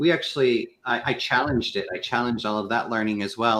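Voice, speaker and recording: Over a quiet background, a man with an American accent and an unremarkable speaking voice talks at a fairly quick pace, at a medium pitch, with ordinary pitch variation. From US Midwest, Kansas. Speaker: sales consultant with a doctorate. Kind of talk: panel discussion on a live show.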